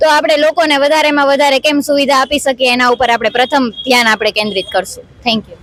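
A high-pitched woman's voice with ordinary pitch variation and very even loudness, over noticeable background noise. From Gujarat, Junagadh. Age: 20s. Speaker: local election candidate. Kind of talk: interview.

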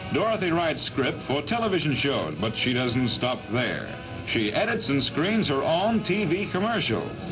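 A man speaks at a moderate pace with very wide pitch swings. Music plays clearly in the background. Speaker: newsreel narrator. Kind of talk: 1940s newsreel narration. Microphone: old recording.

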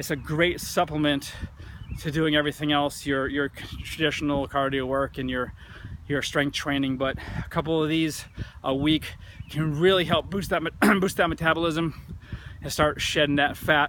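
With a flat, monotone delivery, a man speaks at a moderate pace with long, frequent pauses, the sound dry with no echo and light background noise behind him. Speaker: fitness coach. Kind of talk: fitness tips vlog. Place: open country. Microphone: phone near.

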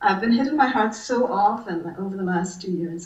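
The speaker is a woman. She talks at a moderate pace amid audible room echo. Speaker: writer and college teacher; interview guest. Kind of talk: interview. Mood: aggrieved, earnest. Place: home room. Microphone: video call.

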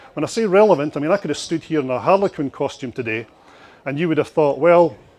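Lively intonation marks this very fast speech in a Scottish accent. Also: man. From Scotland. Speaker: marketing consultant and speaker; speaker. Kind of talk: conference presentation. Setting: stage with audience at expo. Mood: humorous, animated. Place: hall. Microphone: handheld.

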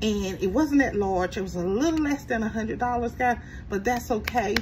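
Against noticeable background noise, a woman speaks at a moderate pace with ordinary pitch variation. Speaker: budgeting channel host. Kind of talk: casual vlog chat. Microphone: phone near.

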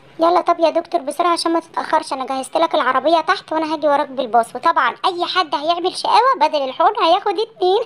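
A cartoonish character voice at an extremely high pitch rattles on with hardly any pauses. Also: fairly quick pace.

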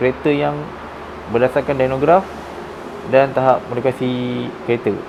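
Amid noticeable background noise, a man speaks at a moderate pace and medium pitch with fairly even intonation and long, frequent pauses. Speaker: car tuning workshop staff. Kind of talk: explainer.

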